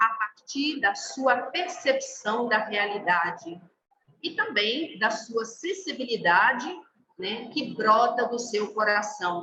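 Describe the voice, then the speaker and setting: With a Brazilian accent, a woman at a fairly high pitch speaks very slowly, using lively intonation. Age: 50s. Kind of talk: formation talk to a group. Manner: hesitant, many fillers.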